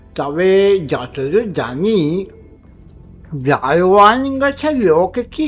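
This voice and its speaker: Over faint background music, a put-on character voice speaks at a middle pitch. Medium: read story. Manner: genial, avuncular.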